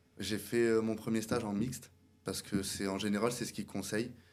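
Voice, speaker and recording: With a monotone, flat intonation and a fairly low pitch, a man talks at a moderate pace amid audible room echo. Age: 20s. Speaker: barber and salon owner. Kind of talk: interview. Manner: hesitant, many fillers.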